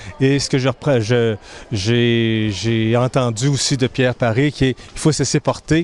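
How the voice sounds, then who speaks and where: Speaking at a fairly slow pace, a man with a medium pitch keeps his intonation fairly even while his loudness swings widely. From Quebec, Granby. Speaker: humanitarian volunteer. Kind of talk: interview. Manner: hesitant, repeating words.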